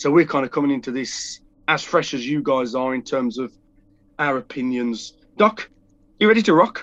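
In a quiet background, a man with a fairly high pitch talks at a moderate pace, taking long, frequent pauses. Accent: British. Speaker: podcast co-host. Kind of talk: casual chat.

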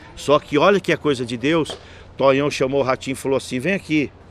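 A man with a fairly high voice talks very fast, using normal pitch movement. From Jandira, São Paulo state, Brazil. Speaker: local politician, city councillor. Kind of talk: casual storytelling interview. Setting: outdoor public leisure area. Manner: animated.

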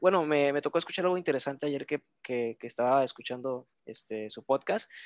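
With a plain, everyday voice, a man speaks at a fairly high pitch and fairly quick pace, with lively intonation and a dry, close sound with no echo. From Reynosa, Tamaulipas, Mexico. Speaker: podcast guest. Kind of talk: casual chat.

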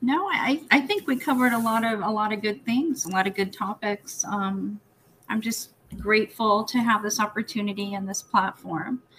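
A woman speaks at a moderate pace with a fairly high pitch. Her pitch variation is ordinary, and there is noticeable background noise. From Guam family, partly raised in the Philippines. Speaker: nurse and healthcare executive. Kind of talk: interview. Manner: hesitant, many fillers.

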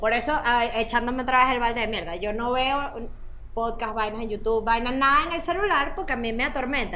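Pitched high, a woman talks at a fairly quick pace with lively intonation, and audible room echo surrounds her. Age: 40s. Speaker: podcast host and journalist. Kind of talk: casual chat.

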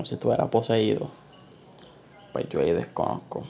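A man speaks over noticeable background noise. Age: 20s. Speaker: podcast host. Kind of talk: solo monologue on anxiety. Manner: casual, hesitant with fillers.

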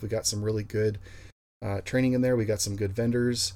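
This man's voice sits fairly low, with a dark, mellow tone, a somewhat breathy quality and monotone, flat intonation. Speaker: association president, police drone program leader. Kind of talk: casual interview conversation.

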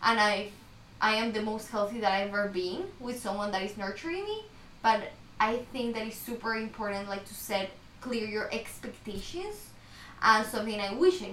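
In a Spanish accent, the speaker keeps a moderate pace and fairly even intonation amid noticeable background noise and audible room echo. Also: woman. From Ecuador. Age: 20s. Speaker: podcast host, student. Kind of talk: casual chat.

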